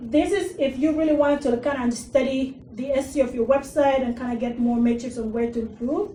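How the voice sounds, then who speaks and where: A woman speaks in a high pitch with an Arabic accent. Her tone is dark and mellow, with ordinary pitch variation. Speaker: digital marketing consultant and workshop speaker. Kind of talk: workshop presentation. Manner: casual, with fillers.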